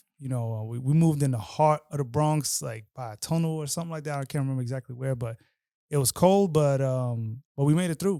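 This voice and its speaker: Very fast and fairly high in pitch, a man's speech has ordinary pitch variation and a dark, mellow tone. The recording is very clean with a silent background. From Queens, New York City. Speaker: DJ. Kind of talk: podcast interview, casual chat.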